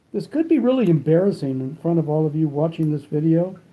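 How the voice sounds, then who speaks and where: Over music in the background, a man talks at a fairly quick pace with a fairly high pitch. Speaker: cigar reviewer. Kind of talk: product review vlog. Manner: mumbling with cigar in mouth; casual, halting with fillers.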